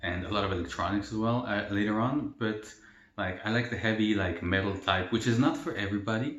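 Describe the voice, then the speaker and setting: Amid audible room echo, a man speaks at a fairly quick pace with a fairly low pitch. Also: fairly even intonation. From El Salvador. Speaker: mukbang youtuber. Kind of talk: casual Q&A while eating. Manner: casual, filler-heavy.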